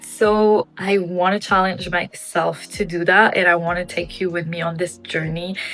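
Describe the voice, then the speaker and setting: A woman speaks in a flat monotone with a non-native accent. Noticeable background noise is present. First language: not English. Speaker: gaming vlogger and former streamer. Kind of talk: personal vlog monologue.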